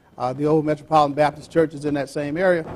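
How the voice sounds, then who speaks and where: Very fast speech from a man with a fairly high pitch, noticeable background noise behind it. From US South, Georgia. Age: 70s. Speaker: museum director and historian. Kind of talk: public talk. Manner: repetitive stammering starts.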